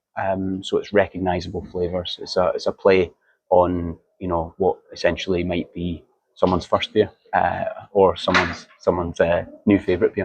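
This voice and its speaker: Moderate pace, in a Scottish accent. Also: man. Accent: Scottish, understandable. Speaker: marketing manager of a brewery. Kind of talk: podcast interview. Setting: beer fair stand.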